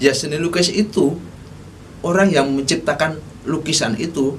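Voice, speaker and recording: A man with a strong Javanese accent speaks with ordinary pitch variation amid audible room echo. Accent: thick Javanese. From Solo, Central Java, Indonesia. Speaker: vlogger on art topics. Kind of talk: casual talk-style lecture. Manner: halting, with fillers and self-corrections.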